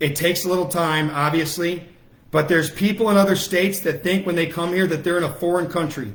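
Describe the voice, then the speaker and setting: A loud man with a high pitch speaks very fast in an animated tone, with audible room echo. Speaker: political activist. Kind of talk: livestream rally speech. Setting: Facebook Live broadcast.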